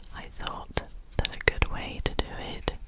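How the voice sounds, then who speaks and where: The speaker whispers. Background noise is noticeable throughout. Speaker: scientist with a PhD. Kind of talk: ASMR whisper ramble. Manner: whispered, soft-spoken.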